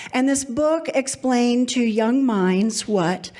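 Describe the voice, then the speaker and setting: A woman speaks with a Kentucky accent at a fairly high pitch. Her pace is very slow. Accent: Kentucky twang. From Kentucky, Louisville. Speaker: storyteller. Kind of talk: live storytelling.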